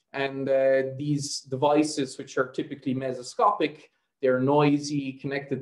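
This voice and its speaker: Monotone, flat intonation at a moderate pace over a quiet background. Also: man. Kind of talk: lecture. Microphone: video call.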